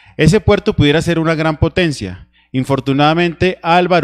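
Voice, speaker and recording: A man's speech shows ordinary pitch variation, and the background is quiet. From Nariño, Colombia. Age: 30s. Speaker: congressional candidate; candidate. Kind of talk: political debate. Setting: TV studio. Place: studio. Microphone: handheld.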